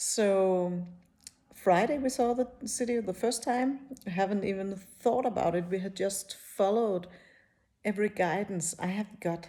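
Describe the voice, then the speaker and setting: With a non-native accent and a dark, mellow tone, the speaker keeps a moderate pace with ordinary pitch variation and long, frequent pauses. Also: woman, medium pitch for a woman. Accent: non-native English, rusty. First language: not English. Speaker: spiritual teacher, YouTuber. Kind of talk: casual personal talk to camera. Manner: halting, many fillers.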